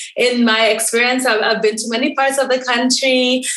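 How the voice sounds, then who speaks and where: Amid noticeable background noise and audible room echo, a woman with a Kenyan accent speaks fairly quickly at a fairly high pitch. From Kenya, Nairobi. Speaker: dermatologist. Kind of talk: interview guest.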